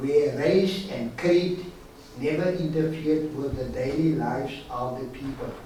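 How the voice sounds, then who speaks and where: Noticeable background noise and audible room echo surround a man talking at a fairly slow pace, his fairly high pitch showing ordinary variation. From South Africa, Stellenbosch. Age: 70s. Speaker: guest speaker, victim of forced removals. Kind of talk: prepared talk to students.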